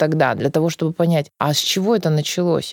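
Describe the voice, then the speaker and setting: There is no echo, and the sound is dry and close. The delivery comes at a fairly quick pace. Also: woman. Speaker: psychologist. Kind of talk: interview. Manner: animated.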